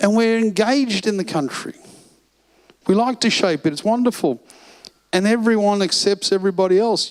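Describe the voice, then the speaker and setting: A man speaks with an Australian accent at a moderate pace. His pitch is high, with ordinary pitch variation. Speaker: financial seminar presenter. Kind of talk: seminar talk. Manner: animated.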